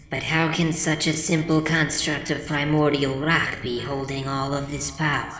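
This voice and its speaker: A put-on character voice at low-to-middle pitch goes at a moderate pace, with clear background noise and a slight echo. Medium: read story. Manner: formal, solemn.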